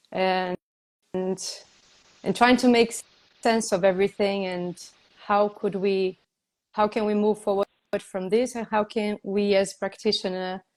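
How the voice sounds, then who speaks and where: A woman speaks at a fairly slow pace and medium pitch with monotone, flat intonation. Long, frequent pauses fill the dry, close sound with no echo. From Brazil. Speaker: yoga teacher and interviewer. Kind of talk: casual interview conversation. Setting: Instagram live video call. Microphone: poor quality due to bandwidth.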